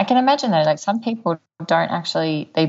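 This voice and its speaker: Against a quiet background, a woman with a very deep, low pitch and vocal fry talks at a fairly quick pace with lively intonation. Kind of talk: casual chat. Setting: lives in Whistler.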